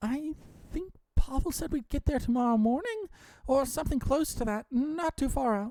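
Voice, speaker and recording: A woman puts on a character voice, high-pitched and lively in intonation. She keeps a moderate pace. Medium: read story. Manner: hesitant, stammering.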